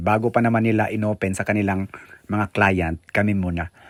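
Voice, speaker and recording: A man's fairly low voice at a moderate pace. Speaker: vlogger. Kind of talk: vlog tour narration. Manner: animated.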